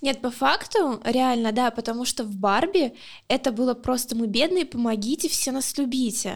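A high-pitched woman at a moderate pace, with ordinary pitch variation, on a very clean recording with a silent background. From Luhansk, Ukraine. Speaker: podcast co-host. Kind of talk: casual chat.

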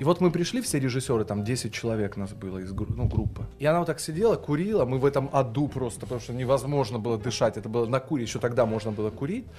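At a very fast pace, a man talks with lively intonation. His pitch is medium. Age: 30s. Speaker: TV news presenter and speech teacher. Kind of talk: casual podcast interview.

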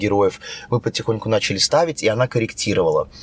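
A man speaks at a very fast pace and medium pitch with ordinary pitch variation, in a dry, close sound with no echo. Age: 30s. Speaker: actor and stunt coordinator. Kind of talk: casual chat.

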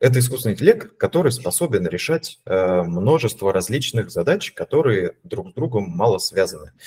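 Somewhat breathy and dark, mellow in tone, a man talks at a moderate pace with very wide pitch swings. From Russia, Voronezh. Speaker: data scientist, AI team lead. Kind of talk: casual interview.

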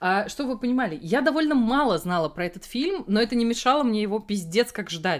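An animated woman speaks in a fairly high pitch, with hardly any pauses. Her pitch swings very widely. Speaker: podcast co-host. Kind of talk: casual chat about films. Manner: animated, swears often.

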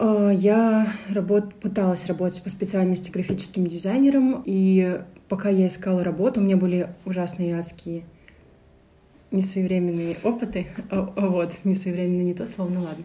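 Medium-pitched and somewhat breathy, a woman's dark, mellow voice at a moderate pace with fairly even intonation. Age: 20s. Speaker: creative producer and photographer. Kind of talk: casual chat.

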